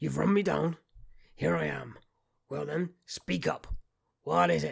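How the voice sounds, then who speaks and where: A man puts on a raspy character voice with a very deep, low pitch, speaking at a fairly slow pace. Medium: read story. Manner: gruff, curt.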